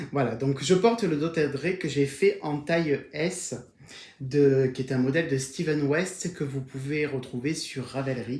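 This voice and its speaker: A man's fairly high, somewhat breathy voice with a slight southern French accent, very slow, with fairly even intonation. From southern France, Var. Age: 40s. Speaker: knitting podcaster. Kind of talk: casual video podcast monologue. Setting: at home on camera. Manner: hesitant with frequent fillers.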